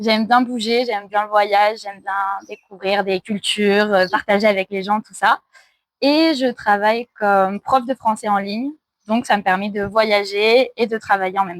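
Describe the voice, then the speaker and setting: In a dry, close recording with no echo, a woman with a normal speaking voice at medium pitch talks at a moderate pace with big swings in loudness. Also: fairly even intonation. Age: 20s. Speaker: traveller and online French teacher. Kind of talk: casual interview.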